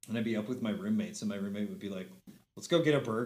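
An American-accented man of medium pitch speaks with lively intonation amid audible room echo. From Montana. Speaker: musician and theater performer. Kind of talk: casual chat.

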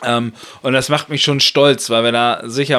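A man at medium pitch speaks at a moderate pace with fairly even intonation, in an ordinary speaking voice. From northern Germany (Lower Saxony, Buxtehude). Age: 30s. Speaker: politician (member of European Parliament). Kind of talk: casual interview. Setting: home kitchen studio.

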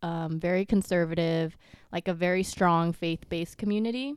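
A woman's fairly low pitch, a normal speaking voice, with ordinary pitch variation. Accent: American. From US, Vietnamese American family. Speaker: podcast guest. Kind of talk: casual chat.

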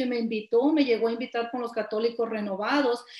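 Her voice sits at a fairly high pitch for a woman. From Nayarit, Mexico. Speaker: church member sharing testimony. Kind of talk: testimony.

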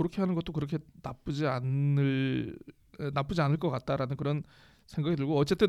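Speech moves at a fairly quick pace on a very clean recording with a silent background. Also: man. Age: 40s. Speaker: podcast host, freelancer. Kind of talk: casual chat.

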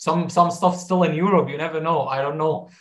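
A man with an Arabic accent speaks at a fairly high pitch. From southern Syria. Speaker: dentistry student. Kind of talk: casual chat.

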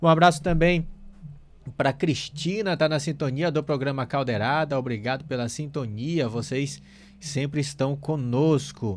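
This man talks at a fairly slow pace with a fairly high pitch. His pitch varies in an ordinary way, and music plays in the background. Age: 30s. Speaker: radio host. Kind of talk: live radio talk show.

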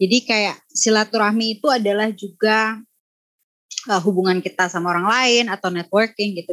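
In a normal speaking voice, a woman talks at medium pitch and a moderate pace, her pitch variation ordinary. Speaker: YouTuber. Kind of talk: casual chat.

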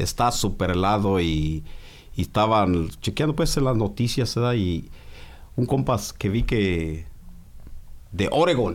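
A man's fairly low voice with lively intonation and very even loudness, at a fairly slow pace with long, frequent pauses. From Mexico. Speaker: podcast co-host. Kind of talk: casual chat.

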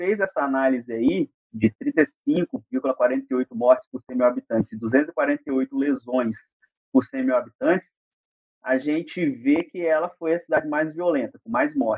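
A man with an ordinary speaking voice talks fairly slowly, using lively intonation. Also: fairly high pitch for a man. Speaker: federal highway police officer and engineer. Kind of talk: interview explaining road safety data.

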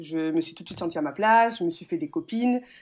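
Very fast speech from a woman, the recording very clean and the background silent. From France, Metz. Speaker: handball player. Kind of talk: interview. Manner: halting.

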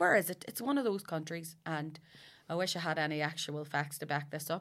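The pace is fairly quick on a very clean recording with a silent background. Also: woman. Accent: Belfast. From West Belfast, Northern Ireland. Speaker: comedian. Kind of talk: casual chat.

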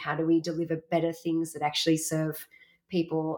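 This woman has an Australian accent and a fairly low pitch. She speaks at a moderate pace. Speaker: workshop facilitator. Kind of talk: interview.

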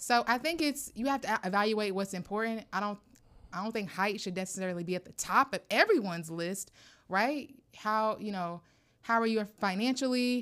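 A woman with a plain, everyday voice talks at a moderate pace and a fairly high pitch, using ordinary pitch variation and big swings in loudness on a very clean recording with a silent background. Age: 30s. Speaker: podcast co-host. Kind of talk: casual chat.

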